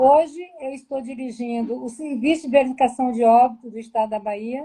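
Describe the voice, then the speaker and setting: A high-pitched woman at a fairly quick pace, fairly even intonation, big swings in loudness. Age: 60s. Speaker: public health manager. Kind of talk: live-stream interview.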